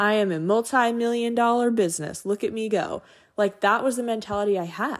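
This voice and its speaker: With an American accent, a woman talks at a fairly quick pace in an animated tone, with a fairly high pitch and ordinary pitch variation. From Montana. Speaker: podcast host, real estate agent and photographer. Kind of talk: casual solo monologue.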